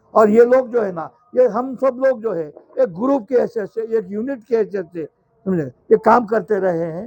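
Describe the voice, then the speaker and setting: High-pitched for a man, his voice shows ordinary pitch variation. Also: moderate pace. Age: 70s. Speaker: local politician. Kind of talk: political rally speech. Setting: outdoor corner meeting. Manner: conversational, repetitive fillers.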